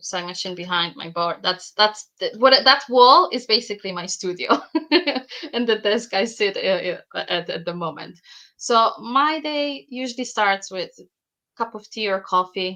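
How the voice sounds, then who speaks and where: A woman speaks at a moderate pace with a fairly high pitch and a bright, sharp tone. Her intonation is lively, and her loudness swings widely. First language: Polish. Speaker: bag pattern designer and sewing teacher. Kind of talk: podcast interview. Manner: some hesitations and repetitions.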